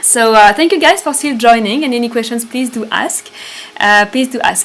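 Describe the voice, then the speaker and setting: With a French accent, a woman speaks at a high pitch and moderate pace with ordinary pitch variation, over noticeable background noise. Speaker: spiritual retreat leader. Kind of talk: live stream talk. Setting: live stream. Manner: halting.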